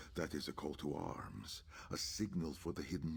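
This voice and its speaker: A man puts on a character voice with a solemn tone. He keeps a moderate pace. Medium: video game. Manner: solemn, measured, formal.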